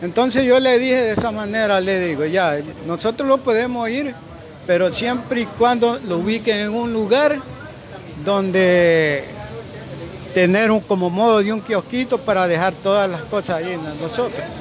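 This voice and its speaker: With crowd noise behind him and audible room echo, a man speaks at a high pitch and a moderate pace, his pitch varying in an ordinary way. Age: 60s. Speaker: shoemaker. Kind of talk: interview.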